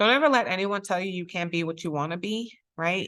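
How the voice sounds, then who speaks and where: A woman with a fairly low pitch speaks against a quiet background. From Brooklyn, New York (Puerto Rican family). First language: Spanish. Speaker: judge. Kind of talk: talk to students. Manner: frequent um fillers.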